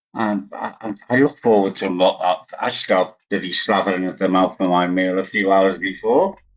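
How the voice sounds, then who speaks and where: Here a man with a Liverpool accent speaks in a fairly low pitch. His pace is fairly slow, with ordinary pitch variation. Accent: Liverpool (Scouse) English. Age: 80s+. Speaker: vegan live-stream host. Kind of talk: casual chat.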